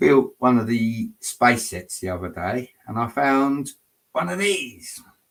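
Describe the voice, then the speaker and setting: This man's medium-pitched voice carries lively intonation. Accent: English. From England. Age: 40s. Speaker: Lego builder streamer. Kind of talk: live stream chat. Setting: home at night.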